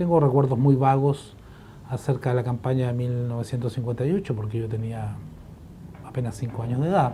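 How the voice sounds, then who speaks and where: A man's medium-pitched, somewhat breathy voice, dark and mellow in tone, fairly quick, with ordinary pitch variation. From Chile. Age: 70s. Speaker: historian, professor. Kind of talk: interview testimony. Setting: office. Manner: hesitant, frequent fillers.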